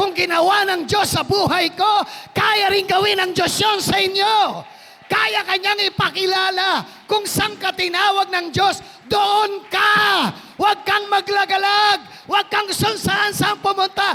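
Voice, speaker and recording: Shouting in an animated tone at a fairly slow pace, the voice comes through over noticeable background noise. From Philippines, Quezon province. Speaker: pastor. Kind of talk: sermon.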